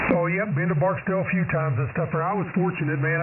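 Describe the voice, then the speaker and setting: Speaking at a fairly quick pace, a man with a high-pitched voice uses ordinary pitch variation in a room with audible echo. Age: 50s. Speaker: amateur radio operator, retired Air Force veteran. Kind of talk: ham radio conversation. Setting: radio transmission.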